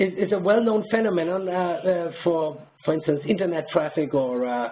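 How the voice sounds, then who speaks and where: Noticeable background noise sits behind a man with a high voice. He speaks at a moderate pace with ordinary pitch variation. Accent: German. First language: German. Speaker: professor. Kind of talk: webinar Q&A. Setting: webinar. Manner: halting, many fillers.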